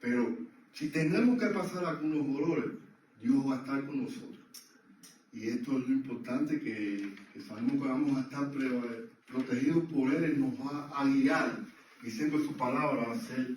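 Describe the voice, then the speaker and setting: With audible room echo and noticeable background noise, a man with a fairly high voice talks at a fairly slow pace, his intonation lively. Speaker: lay preacher. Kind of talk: church teaching.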